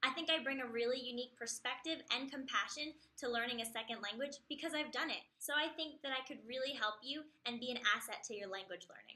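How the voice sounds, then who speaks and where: Speaking very fast in a raised, projected voice, a woman with a New Jersey accent has a high pitch, a bright, sharp tone and ordinary pitch variation. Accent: New Jersey American English. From US Northeast, New Jersey near New York City. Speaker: English teacher. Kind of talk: self-introduction video.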